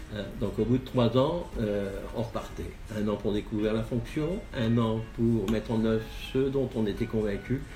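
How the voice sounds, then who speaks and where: A man speaks at a fairly slow pace and a medium pitch, with fairly even intonation. Audible room echo and noticeable background noise fill the recording. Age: 60s. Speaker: local election candidate. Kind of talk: interview. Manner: halting, many hesitations.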